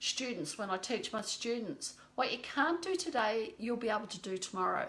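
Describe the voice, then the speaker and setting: Noticeable background noise sits behind the voice. A woman with an Australian accent speaks at a moderate pace. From Australia, rural Victoria (Creswick). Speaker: business mentor. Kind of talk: live stream talk. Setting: Facebook live video, standing. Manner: rambling, self-correcting.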